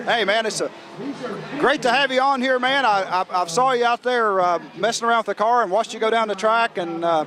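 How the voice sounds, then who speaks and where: A man speaks in a raised, projected voice at an extremely high pitch and a fairly quick pace. His pitch varies in an ordinary way, with noticeable background noise behind him. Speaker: racing show host. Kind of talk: interview. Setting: outdoors.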